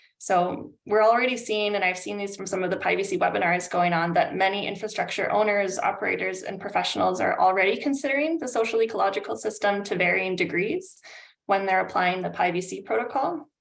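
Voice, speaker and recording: A woman with a Canadian accent at a very fast pace with hardly any pauses, medium in pitch with ordinary variation and some vocal fry. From Canada. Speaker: climate adaptation consultant. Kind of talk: webinar presentation. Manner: hesitant, many fillers.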